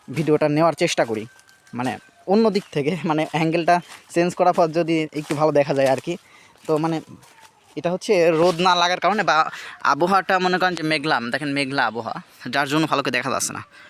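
A man with a fairly high voice talks with ordinary pitch variation, and noticeable background noise can be heard. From rural Bangladesh. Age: 20s. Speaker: rural video creator. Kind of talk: casual vlog narration. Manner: halting, many fillers.

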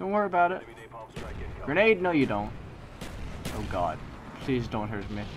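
Long, frequent pauses break up moderately paced speech, and noticeable background noise is present. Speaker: gamer. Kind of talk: live game commentary. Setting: gaming session commentary. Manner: loud, frantic, exasperated, shouting and pleading in mock despair; animated, with outbursts of rage and yelling at opponents.

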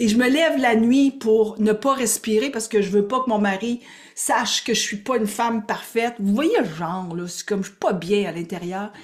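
In a Quebec accent, a woman speaks with an animated tone and a fairly high voice. Her loudness swings a lot. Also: ordinary pitch variation, moderate pace. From Quebec, Gaspésie. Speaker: spiritual coach and teacher; spiritual coach, teacher. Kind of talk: live online workshop. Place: home room. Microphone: webcam.

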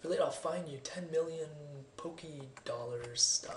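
The recording has light background noise and audible room echo. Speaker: gamer. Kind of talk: video game let's play commentary. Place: home room.

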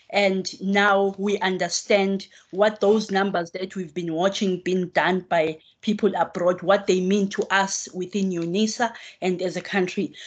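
A woman speaks at a fairly slow pace in a medium pitch. Her intonation stays monotone and flat. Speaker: professor. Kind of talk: vote of thanks speech. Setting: video call. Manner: joking. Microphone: video call.

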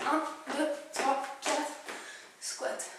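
A woman with a high pitch speaks amid audible room echo and noticeable background noise. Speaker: fitness instructor. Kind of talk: workout tutorial. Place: home room. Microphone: camera far.

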